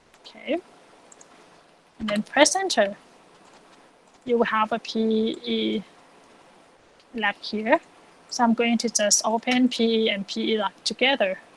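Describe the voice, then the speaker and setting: Speaking at a fairly slow pace with long, frequent pauses, a woman uses a fairly high pitch and ordinary pitch variation in a dry, close sound with no echo. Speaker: econometrics teaching assistant. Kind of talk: software tutorial lecture.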